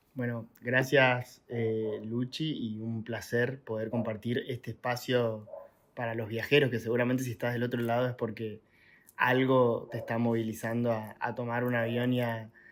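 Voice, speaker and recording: Using an Argentine accent, a man speaks at a fairly slow pace in a medium-pitched, monotone, flat delivery. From Argentina. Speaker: traveller and content creator. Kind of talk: podcast interview. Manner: hesitant, many fillers.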